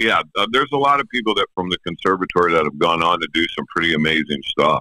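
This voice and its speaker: With an American accent, a man talks at a very fast pace in a very deep, low pitch, his intonation lively. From Pennsylvania. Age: 60s. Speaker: professional drummer. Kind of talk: interview. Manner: casual.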